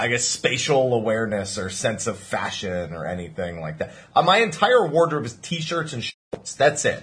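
A man with an American accent talks at a medium pitch, with very wide pitch swings. He keeps a moderate pace with hardly any pauses, over noticeable background noise. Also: big swings in loudness. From New Jersey. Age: 20s. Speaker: podcast host. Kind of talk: casual chat.

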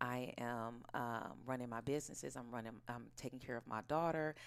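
This woman has an American accent and ordinary pitch variation. She talks at a moderate pace. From Oakland, California. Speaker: actress and aromatherapy business owner. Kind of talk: casual interview chat.

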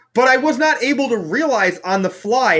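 A man projects a raised voice in a bright, sharp tone, his pitch swinging very widely. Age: 30s. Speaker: professional card game player. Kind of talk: podcast interview. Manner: casual, many fillers like 'like'.

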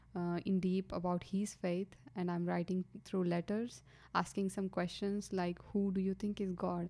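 A woman speaks with an Indian accent at a medium pitch and a fairly slow pace. Her tone is dark and mellow, her intonation flat and monotone. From India, Karnataka. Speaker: engineering student. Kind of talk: testimony. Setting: studio. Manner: halting.

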